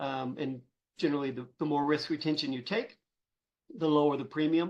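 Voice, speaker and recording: Fairly high-pitched and fairly quick, a man talks with ordinary pitch variation. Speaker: insurance agency founder and author. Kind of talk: webinar presentation. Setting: online webinar. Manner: halting with many fillers.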